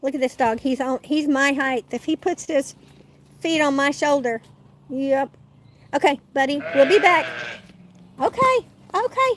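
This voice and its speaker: A woman with a Southern US accent speaks fairly slowly at a high pitch with ordinary pitch variation and long, frequent pauses, the sound dry and close with no echo but with noticeable background noise. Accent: southern twang. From Oklahoma. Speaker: YouTube homesteading vlogger. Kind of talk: casual live stream chat.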